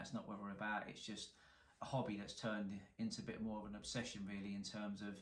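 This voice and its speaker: Talking at a very fast pace with a strong London accent, a man speaks at a fairly low pitch amid audible room echo. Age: 40s. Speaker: car salvage repairer, YouTuber. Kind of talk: casual to-camera introduction.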